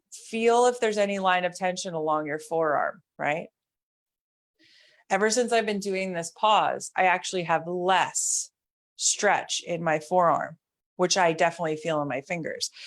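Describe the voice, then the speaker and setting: A normal speaking voice at a moderate pace, in a very clean recording with a silent background. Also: woman, medium pitch for a woman, ordinary pitch variation. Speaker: mobility instructor. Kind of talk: guided exercise class.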